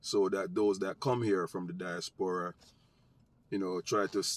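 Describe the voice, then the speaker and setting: Someone with a strong Jamaican accent speaks at a moderate pace with ordinary pitch variation, the sound dry and close with no echo. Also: man. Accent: thick Jamaican. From United States. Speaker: vlogger, social commentator. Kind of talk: casual commentary monologue to camera.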